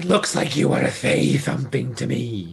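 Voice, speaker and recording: Using a put-on character voice, a man talks at a moderate pace with a medium pitch. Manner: playful, comic.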